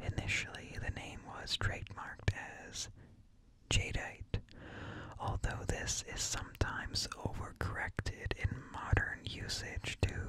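Whispering at a fairly slow pace, a man leaves long, frequent pauses, with big swings in loudness. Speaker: streamer. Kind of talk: reading an informational text aloud. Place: home room. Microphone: studio mic.

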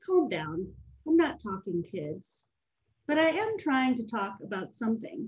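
A woman speaks at a fairly slow pace, somewhat breathy, with a fairly high pitch. Her pitch swings very widely, and the background is quiet. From Nashville, Tennessee; Tennessee. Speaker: poet and farmer; poet. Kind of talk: poetry reading. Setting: video call. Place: home room. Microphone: webcam.

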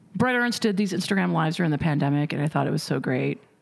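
The speaker has an American accent, and the background is quiet. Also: woman. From Indiana. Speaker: comedian. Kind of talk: casual chat. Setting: studio. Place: studio. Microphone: studio mic.

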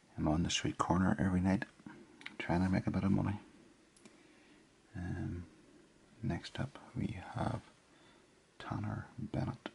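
A man speaks in a very deep, low pitch with ordinary pitch variation at a fairly slow pace. Long, frequent pauses break up his speech over light background noise. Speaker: ASMR creator. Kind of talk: soft casual ramble while writing.

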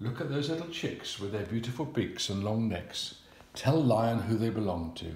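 Lively intonation in an unforced reading voice

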